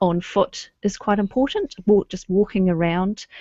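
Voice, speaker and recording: A woman speaks at a medium pitch in a New Zealand accent. Her pace is fairly slow. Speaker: webinar host, local history society committee member. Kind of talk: online presentation. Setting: video call. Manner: casual, frequent um fillers.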